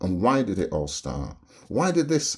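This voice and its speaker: His voice carries vocal fry and swings very widely in pitch. The man speaks at a fairly slow pace. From Barbados. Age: 70s. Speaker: vlogger. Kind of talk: opinion rant to camera. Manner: animated.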